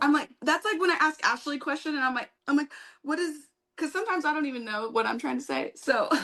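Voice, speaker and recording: Using a raised, projected voice, a woman with a high pitch and a bright, sharp tone speaks at a very fast pace with ordinary pitch variation. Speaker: nail technician and educator. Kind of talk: live tutorial Q&A chat.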